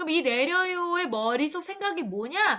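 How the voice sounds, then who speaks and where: A woman's voice with very wide swings in pitch. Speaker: middle school Korean teacher. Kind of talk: online lecture. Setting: recorded online class. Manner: fast.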